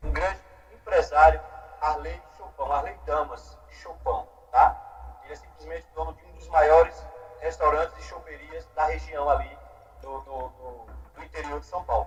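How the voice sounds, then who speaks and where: Music plays behind a man with a northeastern Brazilian accent who speaks fairly slowly, his loudness swinging greatly. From Alagoas, Brazilian Northeast. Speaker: podcast guest, speaker. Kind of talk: casual interview storytelling.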